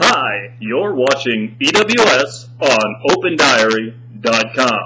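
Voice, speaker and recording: In a put-on character voice, a man speaks at a very slow pace with ordinary pitch variation over clear background noise. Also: medium pitch for a man. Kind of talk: announcer. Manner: polished, broadcast-style.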